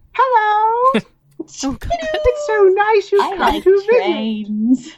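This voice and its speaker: In a put-on character voice, the speaker sounds squeaky at an extremely high pitch and moves at a very slow pace. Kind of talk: falsely polite. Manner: creepy, sinister.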